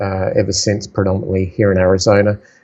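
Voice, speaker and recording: A man with an Australian accent, monotone and flat in intonation, at a fairly quick pace. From South Australia. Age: 50s. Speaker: entrepreneur and investor. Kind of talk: podcast interview.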